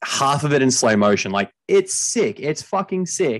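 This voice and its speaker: With an Australian accent, the speaker keeps a moderate pace and ordinary pitch variation against a quiet background. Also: man. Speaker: podcast host. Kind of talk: casual chat about movies.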